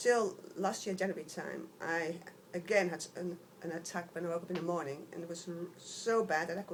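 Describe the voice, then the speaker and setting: Noticeable background noise sits behind a woman speaking at a moderate pace. Her pitch is fairly low, with ordinary variation. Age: 60s. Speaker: patient. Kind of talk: testimony. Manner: halting.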